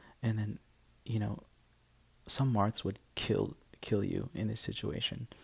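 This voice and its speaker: A quiet, whispering man's voice. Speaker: game coach. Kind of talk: video game match commentary. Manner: whispered; quiet, hushed.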